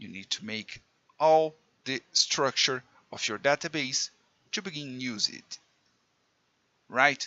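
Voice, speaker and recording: A man with a Portuguese accent at a fairly slow pace, with ordinary pitch variation. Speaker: programming teacher. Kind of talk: tutorial. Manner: halting, self-correcting.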